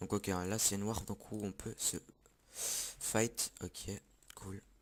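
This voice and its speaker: A man with a fairly low pitch speaks very slowly in a flat monotone. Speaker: gaming youtuber. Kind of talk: gameplay commentary. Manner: loud.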